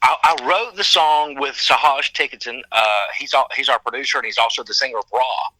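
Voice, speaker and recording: A man with a strong Southern US accent at a fairly quick pace, in a dry, close sound with no echo, over noticeable background noise. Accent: thick Southern US. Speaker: rock singer. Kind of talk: casual interview.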